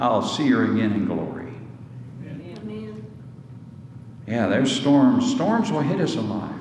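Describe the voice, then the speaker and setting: A man speaks at a medium pitch and a moderate pace. His long, frequent pauses sit over noticeable background noise. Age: 60s. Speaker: pastor. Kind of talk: sermon. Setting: church.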